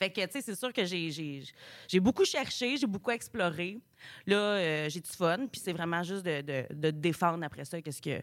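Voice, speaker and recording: This woman has a fairly low pitch and a slight Saguenay accent. She talks at a moderate pace with lively intonation. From Montreal. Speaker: comedian, graduate. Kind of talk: radio interview. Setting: radio studio.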